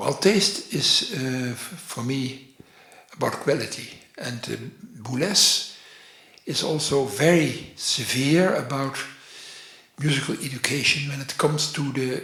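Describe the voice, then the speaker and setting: Amid noticeable background noise and audible room echo, a man with a fairly high pitch speaks at a fairly slow pace, leaving long, frequent pauses. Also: ordinary pitch variation. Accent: Dutch. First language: Dutch. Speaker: orchestral programmer and author. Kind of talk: interview. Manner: halting, many fillers.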